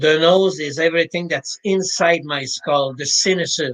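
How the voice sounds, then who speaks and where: A man with a Quebec accent speaks at a fairly slow pace in a fairly high pitch, his intonation fairly even. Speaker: mental preparation coach. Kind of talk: interview.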